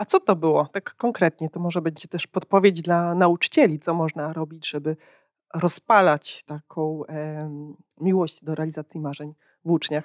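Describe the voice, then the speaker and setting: A woman with a fairly low pitch speaks at a moderate pace, her loudness swinging widely while her intonation stays fairly even, in a dry sound with no echo and a quiet background. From Poland. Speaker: podcast host and company founder. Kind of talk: interview, podcast host. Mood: warm, curious. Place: hall. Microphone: handheld.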